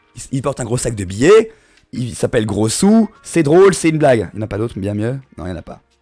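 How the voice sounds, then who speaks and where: Over music in the background, a man with a medium pitch talks at a fairly quick pace in an animated tone, his intonation lively and his loudness swinging widely. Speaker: streamer. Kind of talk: casual live stream chat.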